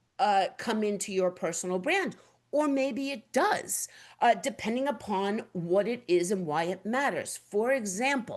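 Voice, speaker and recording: The woman's tone is animated. Her pitch moves with ordinary variation. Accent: New York. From New York. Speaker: webinar host, print industry executive director. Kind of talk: presentation webinar. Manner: loud.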